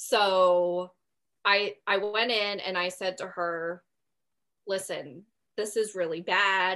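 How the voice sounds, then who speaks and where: A woman speaks at a very slow pace with long, frequent pauses and fairly even intonation. Her tone is bright and sharp, over a quiet background. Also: medium pitch for a woman. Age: 30s. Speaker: podcast guest sharing endometriosis and infertility story. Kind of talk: casual interview, personal story.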